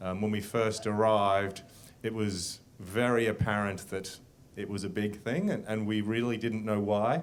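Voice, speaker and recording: With an Australian accent and fairly even intonation, a man speaks at a moderate pace amid audible room echo. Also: fairly low pitch for a man. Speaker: business executive, panelist. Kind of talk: panel discussion.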